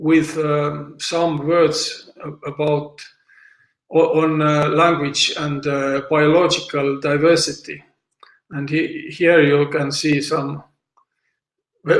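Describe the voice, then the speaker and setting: Amid audible room echo, a man speaks very slowly at a fairly high pitch, his intonation monotone and flat. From South Estonia, Võro County. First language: Võro. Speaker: language teacher. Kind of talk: lecture. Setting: online seminar. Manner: halting, many fillers.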